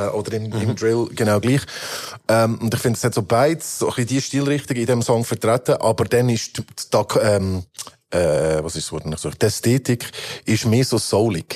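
A man speaks in an ordinary speaking voice at a moderate pace, with a medium pitch and ordinary pitch variation. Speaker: rapper. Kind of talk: casual chat.

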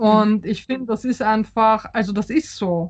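A somewhat breathy voice with a Polish accent and ordinary pitch variation. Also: woman. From Austria and Poland (Vienna, Warsaw). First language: Polish (speaking German). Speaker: novelist. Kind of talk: interview. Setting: video call. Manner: halting, many fillers.

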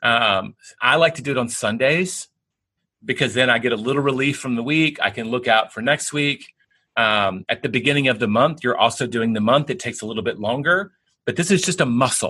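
A man with a Southern US accent and a bright, sharp tone, medium pitch with ordinary variation, a fairly quick pace, and a quiet background. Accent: Southern American. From US South, Tennessee. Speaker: bestselling author and business executive. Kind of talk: interview.

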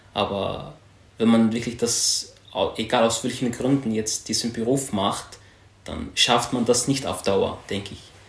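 A man at medium pitch talks at a fairly slow pace with ordinary pitch variation. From Syria. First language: Arabic (speaking German). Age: 20s. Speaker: home care aide. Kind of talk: interview.

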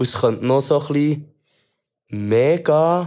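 On a very clean recording with a silent background, a man talks in a fairly high voice with ordinary pitch variation. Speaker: rapper. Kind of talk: casual chat. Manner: halting, repeats words.

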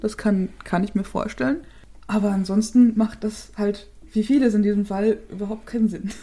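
Dark and mellow in tone, a somewhat breathy voice goes at a moderate pace, its intonation fairly even. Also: woman. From Chiemgau, Upper Bavaria. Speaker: true crime podcast co-host. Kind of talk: case presentation in casual podcast chat.

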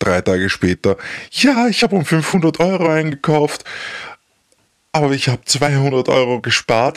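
The speech comes at a moderate pace. The sound is dry and close, with no echo. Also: man. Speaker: ex-partner of someone with bipolar disorder. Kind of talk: interview. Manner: halting.

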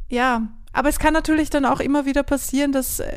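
Her voice is high-pitched for a woman. The recording is very clean, with a silent background. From Austria. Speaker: podcast host and songwriter. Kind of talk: interview conversation with intro and outro.

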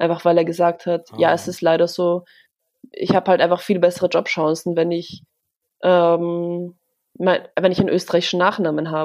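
Over a very clean recording with a silent background, a woman speaks at a fairly low pitch and a moderate pace, with monotone, flat intonation. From Vienna, Austria. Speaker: journalist. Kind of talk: casual chat.

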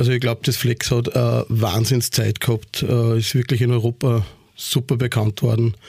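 A somewhat breathy man speaks at a medium pitch and moderate pace. His intonation is flat and monotone, and his loudness is very even. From Austria, Upper Austria (Ried im Innkreis). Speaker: nightclub owner and event promoter. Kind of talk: casual interview.

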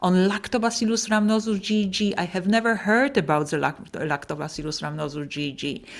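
Someone with a Polish accent speaks at a moderate pace with lively intonation. The recording is very clean, with a silent background. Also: woman. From Poland. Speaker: professor of paediatric gastroenterology. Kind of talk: interview.

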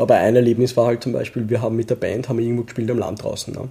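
A man speaks at a medium pitch with a slight Viennese accent. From Vienna, Austria (Donaustadt), Pakistani roots. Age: 30s. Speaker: office worker and hobby metal musician. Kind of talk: casual chat. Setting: at home at the dining table.

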